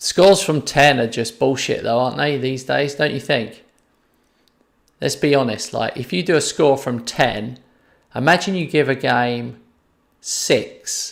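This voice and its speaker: Taking long, frequent pauses, a man with a fairly high pitch speaks with vocal fry. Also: ordinary pitch variation, fairly slow pace, very clean recording, silent background. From London. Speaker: gaming streamer. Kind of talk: live gameplay stream chat. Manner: casual, conversational.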